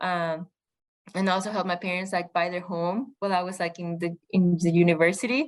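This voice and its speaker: A woman with a Spanish accent, fairly low pitch and fairly even intonation, at a fairly quick pace against a quiet background. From Mexico. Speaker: podcast guest. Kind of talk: interview. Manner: halting.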